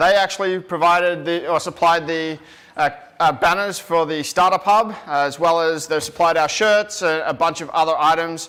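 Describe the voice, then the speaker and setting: A man talks in a high pitch with fairly even intonation. Noticeable background noise runs underneath. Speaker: event emcee. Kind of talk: live event hosting. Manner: fast.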